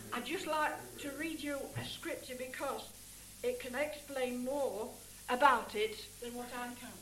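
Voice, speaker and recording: A woman's high voice at a fairly slow pace, with long, frequent pauses, ordinary pitch variation and big swings in loudness over noticeable background noise. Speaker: preacher. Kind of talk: sermon. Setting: church.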